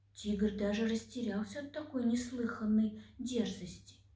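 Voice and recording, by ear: There is audible room echo around a dark, mellow tone that keeps a moderate pace and fairly even intonation. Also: woman, fairly high pitch for a woman.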